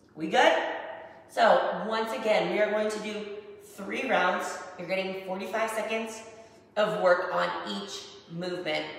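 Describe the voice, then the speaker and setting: Amid strong room echo, a woman speaks fairly slowly with long, frequent pauses. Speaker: fitness instructor. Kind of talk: workout tutorial. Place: home room.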